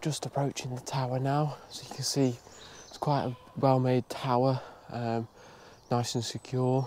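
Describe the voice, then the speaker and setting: A man talks at a moderate pace and medium pitch with monotone, flat intonation. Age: 20s. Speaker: deer stalker. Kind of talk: outdoor walk-and-talk commentary. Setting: outdoors.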